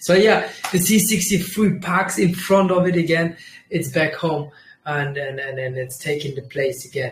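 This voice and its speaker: With ordinary pitch variation, this man's high voice rises above noticeable background noise. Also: moderate pace. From Germany. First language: Kurdish. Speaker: trading livestreamer. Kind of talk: casual livestream chat. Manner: animated; halting.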